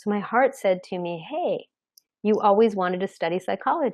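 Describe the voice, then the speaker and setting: In a General American accent, a woman talks at a fairly quick pace with very wide pitch swings. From Arizona, US. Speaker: career coach. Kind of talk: webinar talk. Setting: online webinar. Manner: animated.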